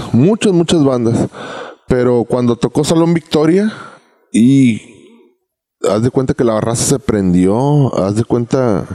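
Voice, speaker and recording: Lively intonation marks speech at a fairly slow pace with long, frequent pauses, very even loudness, and a dry, close sound with no echo. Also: man. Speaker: reggae singer. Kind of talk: casual chat. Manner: halting.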